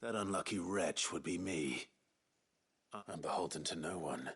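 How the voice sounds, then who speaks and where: A man puts on a raspy character voice with a very deep, low pitch. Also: moderate pace, ordinary pitch variation. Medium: video game. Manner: low, controlled, stern.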